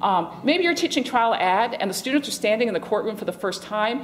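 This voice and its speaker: A fairly high-pitched woman speaks at a fairly quick pace with very wide pitch swings, with audible room echo and noticeable background noise. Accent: American. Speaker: law professor. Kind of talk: conference talk. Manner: fast.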